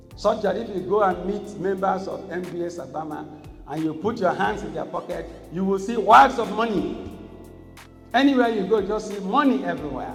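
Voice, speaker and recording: A Nigerian accent at a moderate pace, with ordinary pitch variation and music in the background. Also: man, high pitch for a man. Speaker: traditional ruler. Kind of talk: keynote lecture at law conference. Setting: conference hall.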